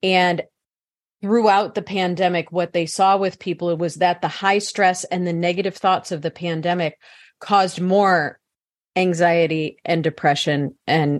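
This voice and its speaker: With a plain, everyday voice, a woman of fairly low pitch speaks at a moderate pace and fairly even intonation in a quiet background. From US Midwest (St. Louis, Missouri). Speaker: psychologist and author. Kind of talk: interview.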